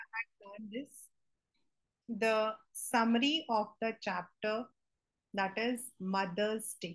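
Against a quiet background, a somewhat breathy woman with a fairly high pitch speaks at a very slow pace, with ordinary pitch variation and long, frequent pauses. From India. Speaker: teacher. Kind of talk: lecture. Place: home room. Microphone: webcam.

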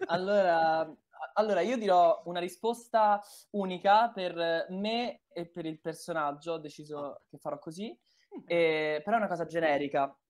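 Big swings in loudness mark a man's high-pitched voice, delivered fairly slowly with ordinary pitch variation. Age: 20s. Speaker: voice actor. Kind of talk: casual chat.

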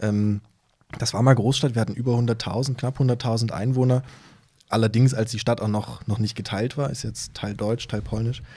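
A man's somewhat breathy voice, dark and mellow in tone, with monotone, flat intonation. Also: moderate pace. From Saxony (Kamenz, Upper Lusatia); Saxony. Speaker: novelist; podcast guest. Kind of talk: conversational interview. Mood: relaxed, smiling. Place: studio. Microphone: studio mic.

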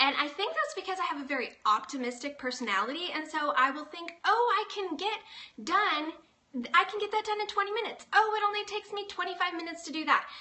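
This woman's voice sits at an extremely high pitch and swings widely in loudness. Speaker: blogger hosting a live stream. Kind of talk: casual vlog chat. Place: home room. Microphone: phone near.

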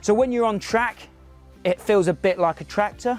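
Faint music plays in the background of a dry sound with no echo as the speaker uses ordinary pitch variation. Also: man. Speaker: motorcycle reviewer. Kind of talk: product review talk to camera. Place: open country. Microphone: lapel.

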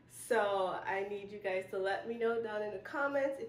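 A woman speaks at a fairly slow pace with fairly even intonation, and room echo is audible. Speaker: home organizing vlogger. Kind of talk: casual vlog chat. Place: home room. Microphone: camera far.

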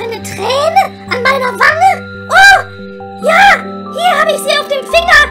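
Faint music plays in the background as a woman uses a put-on character voice with a bright, sharp tone at an extremely high pitch. She talks at a fairly slow pace with lively intonation.

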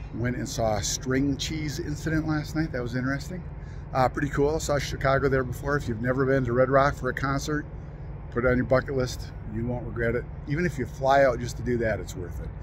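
A man talks very fast with fairly even intonation. Background noise is noticeable, and the sound is dry with no echo. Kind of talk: casual vlog chat. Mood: wistful, reflective. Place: open country. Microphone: phone near.

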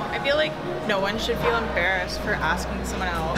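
A woman speaks while music plays clearly in the background. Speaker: interviewee. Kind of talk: interview answer. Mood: playful, laughing. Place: gym. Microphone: camera far.

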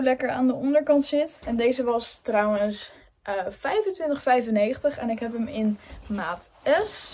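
Ordinary pitch variation in a very slow delivery with a dark, mellow tone. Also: woman. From Netherlands, Amersfoort. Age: 20s. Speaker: influencer vlogger. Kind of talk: presentation to a class; casual vlog talk.

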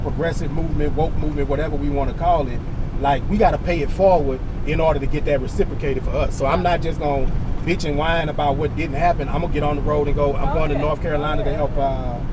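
Noticeable background noise surrounds a man who talks very fast. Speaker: candidate. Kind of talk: casual conversation. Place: car. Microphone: camera far.

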